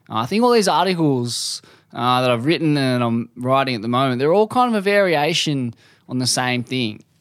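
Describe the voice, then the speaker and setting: Here is a man with an unremarkable speaking voice at a medium pitch. He talks at a fairly quick pace with lively intonation. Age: 30s. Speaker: surf journalist. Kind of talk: casual interview.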